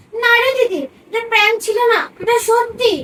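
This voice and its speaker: Putting on a squeaky character voice at an extremely high pitch, a woman talks at a fairly quick pace with fairly even intonation. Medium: short film.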